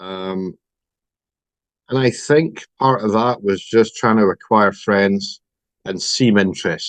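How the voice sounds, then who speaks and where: With a Scottish accent, a man speaks very slowly at a fairly low pitch, with ordinary pitch variation and long, frequent pauses. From Scotland. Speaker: recovering compulsive gambler. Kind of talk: personal testimony.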